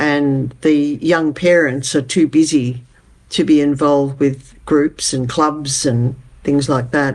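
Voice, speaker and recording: Very slow speech from a woman with a very deep, low voice, fairly even intonation and an Australian accent. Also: quiet background. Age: 80s+. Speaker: community development advocate. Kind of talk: interview.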